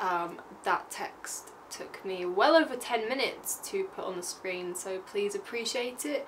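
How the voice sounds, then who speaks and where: Over light background noise, a woman talks at a moderate pace with very wide pitch swings. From England. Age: 20s. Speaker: vlogger. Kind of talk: casual talk to camera. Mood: playful, joking. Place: home room.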